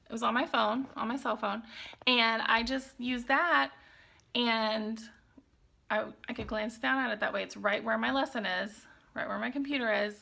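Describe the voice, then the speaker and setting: With long, frequent pauses, a woman speaks in a fairly high, bright, sharp voice that is animated and shows vocal fry. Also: ordinary pitch variation. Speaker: online English teacher and vlogger. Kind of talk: casual tutorial vlog. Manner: fast.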